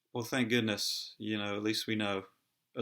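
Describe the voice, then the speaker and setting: On a very clean recording with a silent background, a man with a fairly low pitch and a bright, sharp tone speaks in a flat, monotone way. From United Kingdom. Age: 30s. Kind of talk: casual talk to camera. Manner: hesitant, halting; low-spirited.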